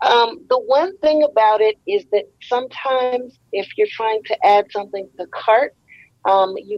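Lively intonation marks this woman's fairly high voice, recorded with a dry, close sound and no echo. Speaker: convention attendee. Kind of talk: casual chat. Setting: video call. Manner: animated.

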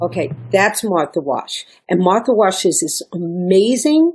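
This woman talks at a very slow pace with a New York accent and very wide pitch swings. The recording is very clean, with a silent background. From New York (Brooklyn). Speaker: singer, violinist and music professor. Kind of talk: interview conversation. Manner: animated.

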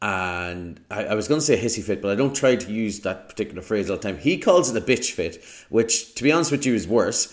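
Lively intonation from a man at medium pitch and a fairly quick pace. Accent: Irish. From Ireland. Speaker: podcast host. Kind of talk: casual chat.

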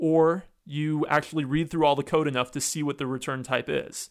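A man with an American accent and a plain, everyday voice speaks at a moderate pace and fairly high pitch on a very clean recording with a silent background. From US Northeast. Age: 30s. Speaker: computer science professor. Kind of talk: podcast interview.

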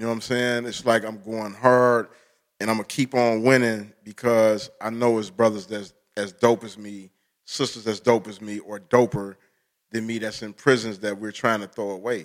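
In a very clean recording with a silent background, a man speaks at medium pitch and a moderate pace with monotone, flat intonation. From Detroit. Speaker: poet and author. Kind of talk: casual chat.

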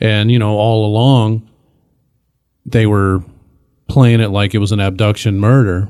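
A man speaks in a fairly low pitch with a Midwestern US accent and monotone, flat intonation. The recording is very clean, with a silent background. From Michigan, north end of Flint. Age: 40s. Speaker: improv actor and teacher. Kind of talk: casual chat.

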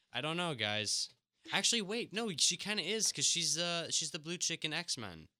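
This man's high voice has a bright, sharp tone yet sounds relaxed, moving at a moderate pace with very wide pitch swings. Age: 20s. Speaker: podcast co-host, film reviewer. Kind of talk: casual chat. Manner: relaxed, joking.

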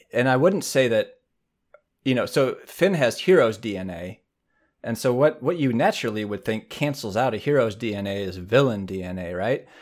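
In a very clean recording with a silent background, a man speaks at a moderate pace with a normal speaking voice and medium pitch. His loudness swings widely. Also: lively intonation. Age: 30s. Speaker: podcast co-host. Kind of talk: casual chat.

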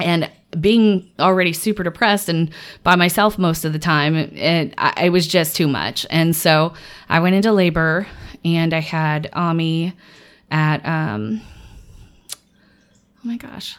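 A woman talks at a fairly low pitch with ordinary pitch variation and long, frequent pauses. The recording is very clean, with a silent background. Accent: American. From US South, Little Rock, Arkansas. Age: 30s. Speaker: improv performer. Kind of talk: casual interview.

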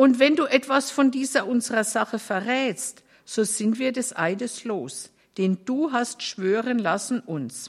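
A woman speaks very slowly at a high pitch, on a very clean recording with a silent background. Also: ordinary pitch variation. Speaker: scripture reader. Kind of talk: reading aloud from the Bible.

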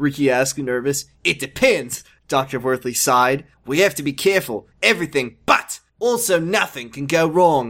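The tone is animated, with ordinary pitch variation at a moderate pace. The recording is very clean, with a silent background. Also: man, fairly high pitch for a man. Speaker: podcast co-host. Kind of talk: casual comedic banter, reading fiction aloud. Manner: animated, jokey, does character voices.

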